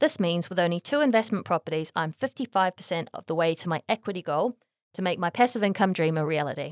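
Very fast, a woman's speech comes through dry and close with no echo on a very clean recording with a silent background. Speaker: property investment podcast host. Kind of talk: scripted narration. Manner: reading aloud.

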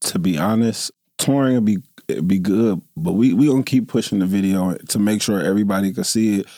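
A man with a fairly low pitch and a dark, mellow tone talks at a fairly quick pace with ordinary pitch variation on a very clean recording with a silent background. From Dayton, Ohio, US Midwest. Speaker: rapper. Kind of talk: interview.

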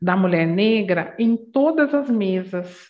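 A woman speaks in a warm tone. Her pace is very slow. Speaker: diversity and anti-racist education consultant. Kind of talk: interview. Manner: warm, loving tone.

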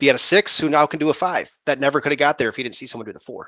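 A man's fairly high-pitched voice at a very fast pace against a quiet background. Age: 30s. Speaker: insurance producer, podcast co-host. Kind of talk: casual chat.

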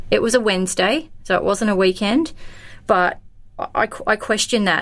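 A woman speaks with an Australian accent. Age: 40s. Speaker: daughter of a missing person. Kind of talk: casual chat.

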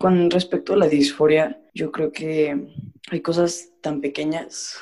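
Very slowly and with fairly even intonation, a man speaks in a fairly high voice with a dark, mellow tone. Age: 20s. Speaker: former student. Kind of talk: casual chat.

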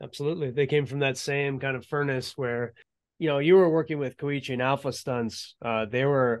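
A man's unremarkable speaking voice, fairly high in pitch, at a moderate pace with ordinary pitch variation over a quiet background. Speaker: interviewer and action filmmaker. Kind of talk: interview.

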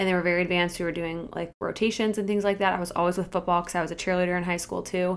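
On a very clean recording with a silent background, a woman speaks very fast with hardly any pauses, her fairly low pitch held in a monotone, flat intonation. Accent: Midwestern American. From US Midwest, Akron, Ohio. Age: 20s. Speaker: fitness coach and podcast co-host. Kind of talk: casual interview chat.

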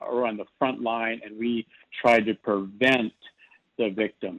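A man talks at a fairly slow pace in a medium pitch. He has a plain, everyday voice. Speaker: nonprofit chairman.

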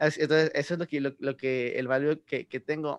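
In a dry, close sound with no echo, a man with a fairly high pitch speaks at a moderate pace in a plain, everyday voice. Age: 20s. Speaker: podcast host. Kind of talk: casual chat.

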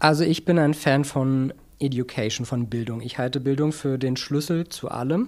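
A man's plain, everyday voice at medium pitch, moderate pace and fairly even intonation, on a very clean recording with a silent background. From Berlin. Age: 40s. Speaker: business journalist and media founder. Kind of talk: interview.

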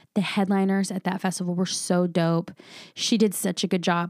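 On a very clean recording with a silent background, a woman with an American accent speaks fairly quickly at a medium pitch in a monotone, flat intonation. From Southern California (Vista, San Diego County). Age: 40s. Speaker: comedian. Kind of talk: casual chat.

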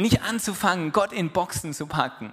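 With music in the background, a man's high-pitched voice moves at a fairly quick pace. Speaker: preacher. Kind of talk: sermon. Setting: church. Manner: animated, conversational, warm and encouraging; direct and persuasive, quoting Jesus in casual voice.

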